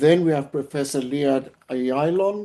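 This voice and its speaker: The speaker has a South African accent and a fairly slow pace. The background is quiet. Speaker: webinar moderator, professor. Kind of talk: webinar moderation, introducing speakers. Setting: online webinar. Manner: formal.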